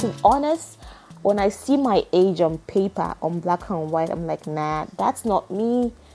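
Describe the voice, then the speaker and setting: With music in the background, a woman talks at a medium pitch. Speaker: podcaster. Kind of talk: casual monologue. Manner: unscripted, with false starts.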